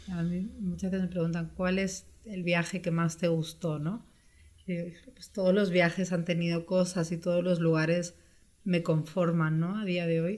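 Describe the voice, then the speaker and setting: The woman's pitch is fairly low. She speaks at a fairly slow pace with monotone, flat intonation. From Spain (born in Brazil, moved at 6). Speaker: travel entrepreneur. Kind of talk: interview.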